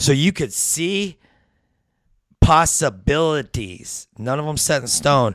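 A man's normal speaking voice at a fairly slow pace, with ordinary pitch variation and a very clean recording over a silent background. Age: 40s. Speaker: addiction recovery and spiritual guest. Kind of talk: casual chat.

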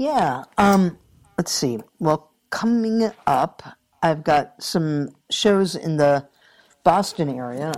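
A woman speaks at a very slow pace, her pitch fairly low. Her intonation is lively. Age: 60s. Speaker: guitarist and vocalist. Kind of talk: casual interview.

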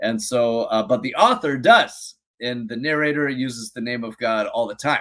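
A man speaks at medium pitch and a moderate pace. He has an ordinary speaking voice with fairly even intonation. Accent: American. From US Pacific Northwest, Seattle area. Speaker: biblical scholar. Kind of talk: interview.

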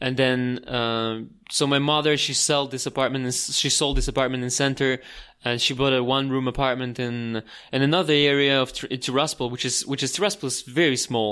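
This man has a bright, sharp tone and a medium pitch, talking at a fairly quick pace with fairly even intonation. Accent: Russian. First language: Russian. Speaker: tour guide. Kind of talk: casual interview. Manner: halting with many fillers.

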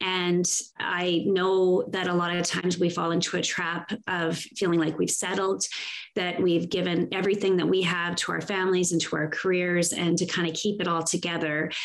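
A woman with a Canadian Prairie accent speaks at a fairly low pitch and moderate pace. Noticeable background noise runs behind her. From Saskatchewan, Canada (farm). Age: 50s. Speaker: inspirational speaker and women's coach. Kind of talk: interview conversation. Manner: animated.

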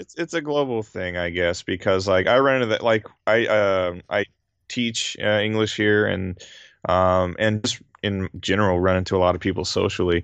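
A man with an American accent and an ordinary speaking voice talks at a fairly low pitch with ordinary pitch variation. His pace is moderate, and the background is quiet. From US South, southern Louisiana. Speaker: YouTuber on Japanese gaming, English teacher. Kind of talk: casual chat.

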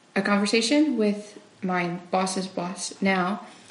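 Noticeable background noise sits beneath speech delivered at a very slow pace. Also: woman. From Walkerton. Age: 20s. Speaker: pastor's child, finance worker. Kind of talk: interview testimony. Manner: frequent fillers.

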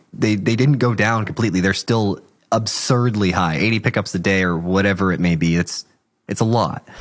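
In an unremarkable speaking voice, a man talks at a fairly quick pace with a fairly low pitch and very even loudness. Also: ordinary pitch variation. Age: 30s. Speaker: podcast host. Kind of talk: casual interview.

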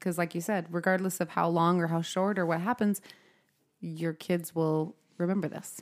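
Speaking with an American accent, a woman has a plain, everyday voice at a fairly low pitch and fairly even intonation. She talks at a moderate pace on a very clean recording with a silent background. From Utah. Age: 30s.

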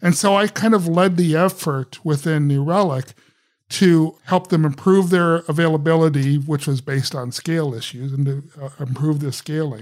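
This man has a plain, everyday voice, fairly high in pitch with ordinary pitch variation, at a moderate pace on a very clean recording with a silent background. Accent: American. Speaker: software architect and author. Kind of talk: interview.

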